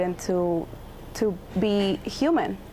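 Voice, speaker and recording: Noticeable background noise sits behind a woman whose medium pitch carries lively intonation. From Texas (born in Mexico City). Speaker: undocumented immigrant activist. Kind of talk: TV news interview.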